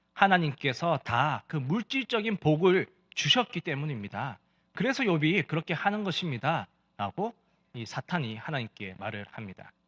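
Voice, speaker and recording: With a Gyeongsang accent and vocal fry, a man speaks at a moderate pace in a fairly high voice, his pitch swinging very widely and his loudness rising and falling sharply, on a very clean, dry, close recording with a silent background and no echo. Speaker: pastor. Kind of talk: sermon.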